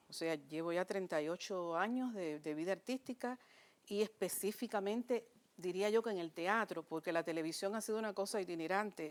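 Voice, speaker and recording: This woman talks at a moderate pace, her pitch medium with ordinary variation. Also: very clean recording, silent background. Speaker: stage and television actress. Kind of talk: interview.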